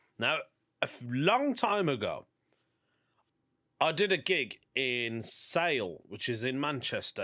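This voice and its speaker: In a Birmingham accent, a man with a bright, sharp tone swings his pitch very widely on a very clean recording with a silent background. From England, Birmingham. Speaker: stand-up comedian and podcast host. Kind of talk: casual podcast monologue.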